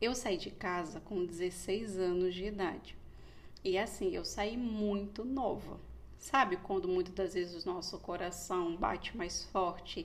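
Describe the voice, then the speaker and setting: Fairly even in intonation, a woman of medium pitch speaks at a fairly slow pace. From Brazil, Pernambuco and Rio de Janeiro. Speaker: psychologist. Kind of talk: podcast monologue, personal story.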